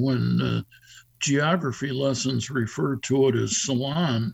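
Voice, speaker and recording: A man with an American accent talks at a medium pitch, somewhat breathy. His pace is fairly slow and his intonation fairly even. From Chicago North Shore suburbs, US Midwest. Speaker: deacon. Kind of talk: radio interview. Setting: video call.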